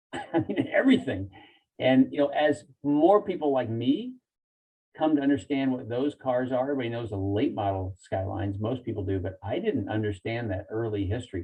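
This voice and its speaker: Lively intonation marks this man's medium-pitched, unremarkable speaking voice. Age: 60s. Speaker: dry ice cleaning business owner. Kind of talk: podcast interview.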